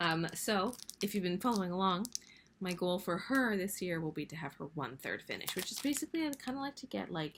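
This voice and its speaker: Soft-spoken and fairly quick, a woman's medium-pitched voice swings very widely in pitch. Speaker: cross-stitch vlogger. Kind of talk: casual hobby vlog. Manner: casual, filler-heavy.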